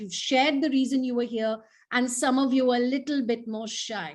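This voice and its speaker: Against a quiet background, a woman speaks. Her pitch is high and varies in an ordinary way. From India, schooled in England. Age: 40s. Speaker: healing coach. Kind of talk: online workshop. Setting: video call. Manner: animated.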